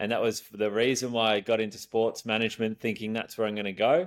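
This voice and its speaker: A man talks at a medium pitch with an Australian accent. The recording is very clean, with a silent background. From Australia, Geelong (Victoria). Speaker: event staffing entrepreneur. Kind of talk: casual interview chat. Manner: laid-back.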